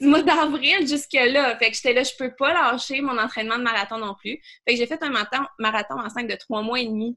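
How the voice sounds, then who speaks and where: This woman has a high pitch and a bright, sharp tone, speaking at a moderate pace with ordinary pitch variation. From Quebec City (Beauport). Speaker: business coach. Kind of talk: casual interview chat.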